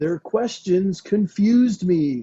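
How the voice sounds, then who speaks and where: A man's put-on character voice at a high pitch. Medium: stage play. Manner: oddly formal, dreamy.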